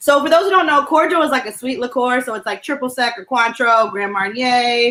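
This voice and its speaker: In a New Jersey accent, a woman with a high pitch and a bright, sharp tone talks at a fairly quick pace with lively intonation. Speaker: comedy show co-host. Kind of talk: casual chat, drink-making demo.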